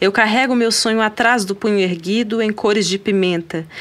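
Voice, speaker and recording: Lively intonation from a woman at a fairly high pitch. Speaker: guest poetry reader. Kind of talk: poem reading aloud, spoken-word style, impassioned and rhythmic. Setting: studio recording. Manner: intense, deliberate, emphatic.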